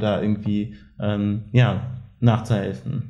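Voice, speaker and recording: With audible room echo, a man speaks at a fairly low pitch. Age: 20s. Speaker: anti-racism activist. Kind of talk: casual chat. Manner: hesitant with many fillers.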